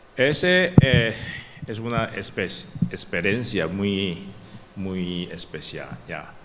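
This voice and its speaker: A man's very deep, low voice with a non-native accent and ordinary pitch variation, very slow pace, audible room echo and noticeable background noise. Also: long, frequent pauses, big swings in loudness. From Taiwan. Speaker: professor. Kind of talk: academic talk. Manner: halting, stuttering restarts.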